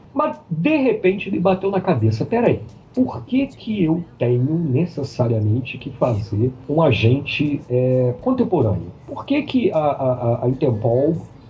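Against noticeable background noise, a man with a fairly high pitch makes very wide pitch swings. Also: fairly slow pace. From Brazil, Macaé (Rio de Janeiro state). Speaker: comic book artist. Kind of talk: casual interview. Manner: halting, repeats words.

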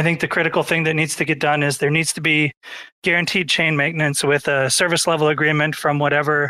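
A man with a fairly high pitch talks in a monotone, flat way on a very clean recording with a silent background. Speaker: nominee for dev department. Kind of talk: community call candidate pitch. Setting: Twitter space audio call.

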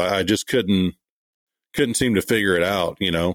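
A man talks with a Texan accent in a fairly low voice. The sound is dry and close, with no echo. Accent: Texan Southern US. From East Texas. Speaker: part-time knifemaker. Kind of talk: interview. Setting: remote call.

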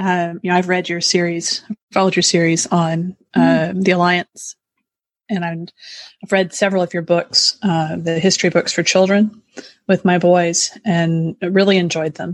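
Dry, close sound with no echo carries a woman's fairly low voice. Her intonation stays monotone and flat. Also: moderate pace. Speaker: podcast co-host. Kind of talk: casual chat.

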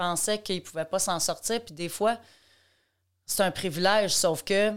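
This woman's pitch variation is ordinary. The recording is very clean, and the background is silent. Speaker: ballet teacher and educator. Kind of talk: casual interview. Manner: talkative, non-stop; animated.

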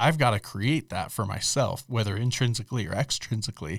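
A man speaks with a somewhat breathy voice in a very clean recording with a silent background, the sound dry and close with no echo. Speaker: podcast co-host. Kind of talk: casual chat.

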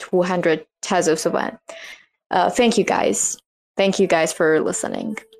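A woman with a medium pitch talks at a very slow pace. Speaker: artist. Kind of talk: casual chat.

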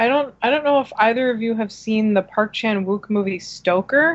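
This is an ordinary speaking voice. The intonation is lively. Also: woman. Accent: American. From New Jersey. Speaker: film magazine writer. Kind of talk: casual chat.

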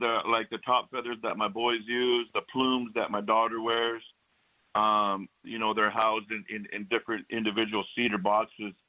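In an American accent, a plain, everyday voice talks at a moderate pace with fairly even intonation. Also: man. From Northern Cheyenne, US Plains. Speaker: powwow announcer. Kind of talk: radio interview. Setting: phone call.

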